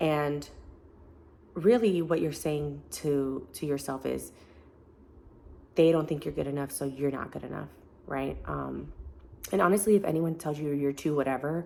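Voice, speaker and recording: A woman speaks at a moderate pace in a very deep, low pitch, her tone dark and mellow. Her pitch varies in an ordinary way, broken by long, frequent pauses. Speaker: self-help vlogger. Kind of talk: casual vlog talk to camera. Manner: casual, conversational.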